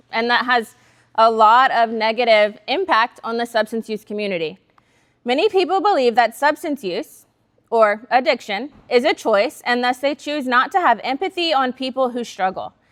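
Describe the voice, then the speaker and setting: With a Southern US accent, a woman talks at a high pitch and with lively intonation. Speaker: substance use counselor. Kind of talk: workshop talk. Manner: fast.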